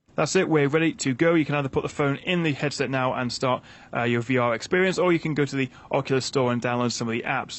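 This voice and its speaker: A man talks very fast in a British accent. His pitch is fairly high, with ordinary variation. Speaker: tech reviewer. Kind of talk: product review and setup tutorial.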